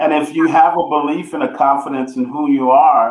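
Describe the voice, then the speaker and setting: With an American accent and an ordinary speaking voice, a man speaks at a moderate pace in a fairly high pitch with ordinary pitch variation. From US inner city. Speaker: motivational speaker and coach. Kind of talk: interview.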